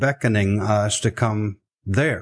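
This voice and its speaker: With a Southern US accent, a man talks at a medium pitch with ordinary pitch variation over a quiet background. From US South, South Arkansas. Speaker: missionary. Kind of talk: interview storytelling.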